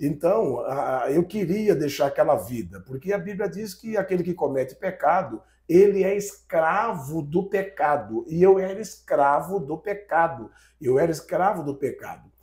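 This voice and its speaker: With lively intonation and a high pitch, a man talks at a fairly slow pace on a very clean recording with a silent background. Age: 60s. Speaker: pastor. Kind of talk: testimony. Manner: halting, repeats words.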